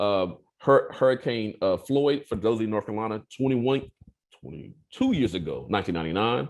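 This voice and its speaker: A man with a medium pitch talks at a fairly quick pace. His intonation is lively. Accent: American. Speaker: professor. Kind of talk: lecture. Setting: video call. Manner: fast, repetitive with restarts.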